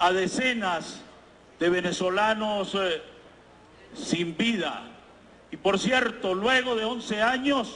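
Pausing long and often, a man speaks at a very slow pace and a high pitch with ordinary pitch variation. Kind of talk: parliamentary speech. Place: hall. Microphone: handheld.

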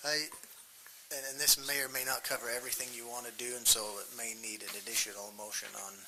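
This man talks at a medium pitch with fairly even intonation and big swings in loudness. Room echo is audible, and there is noticeable background noise. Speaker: county council member. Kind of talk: formal motion in public meeting. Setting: county council meeting. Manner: slow, deliberate.

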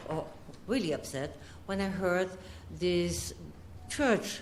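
Audible room echo surrounds a woman whose pitch is fairly low. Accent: European. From Europe. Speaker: resident making public comment. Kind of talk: public comment. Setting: city commission chambers.

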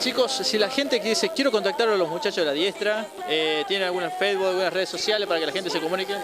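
A man's high-pitched voice at a fast pace, with ordinary pitch variation and clear background noise

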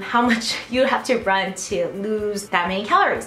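A woman speaks at a moderate pace with audible room echo and light background noise. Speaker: vlogger. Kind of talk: casual vlog chat. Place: gym. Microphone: phone near.

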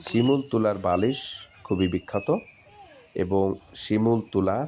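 A man with a somewhat low voice and normal pitch movement talks over clearly audible noise. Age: 40s. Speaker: farming video blogger. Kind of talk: vlog narration.

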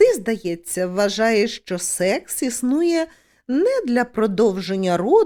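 Natural reading voice

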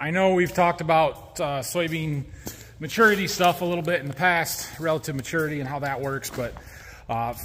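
Light background noise under a man's voice of ordinary pitch variation. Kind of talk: casual vlog chat. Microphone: phone near.

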